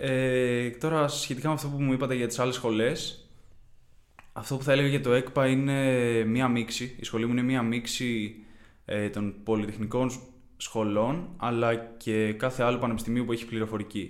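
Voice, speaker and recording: Audible room echo surrounds a man of medium pitch. He speaks at a moderate pace with fairly even intonation. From Greece, Kiato, Corinthia. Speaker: university student. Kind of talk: interview.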